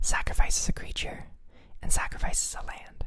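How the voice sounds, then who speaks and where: The voice is whispering. The pace is fairly slow. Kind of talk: whispered ASMR talk about a card game deck. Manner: whispered, soft.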